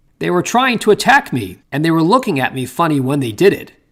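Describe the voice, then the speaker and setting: Racing at a very fast pace, a man does a put-on character voice with a fairly high pitch and very wide pitch swings. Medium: read story.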